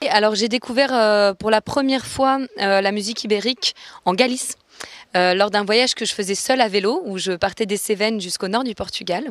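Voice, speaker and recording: An unremarkable speaking voice from a woman, fairly high in pitch, with ordinary pitch variation at a fairly quick pace, the sound dry and close with no echo. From born in Venezuela, raised in many countries. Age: 30s. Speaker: musician and masterclass teacher. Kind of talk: interview.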